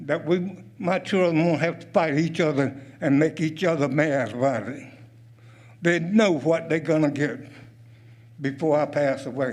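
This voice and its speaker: A man with a Southern US accent, his pitch fairly high, with ordinary variation in his intonation. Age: 80s+. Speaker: retired military and State Department veteran. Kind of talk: public comment at county meeting.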